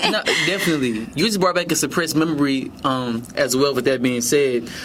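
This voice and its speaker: Over noticeable background noise, a man with a fairly high pitch speaks at a fairly quick pace, very even in loudness and with ordinary pitch variation. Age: 20s. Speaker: college student. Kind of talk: podcast interview.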